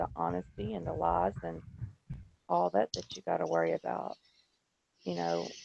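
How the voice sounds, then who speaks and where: This man talks quietly at a moderate pace. His pitch is very deep and low. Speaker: panelist. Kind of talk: casual group discussion. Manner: quiet, low volume.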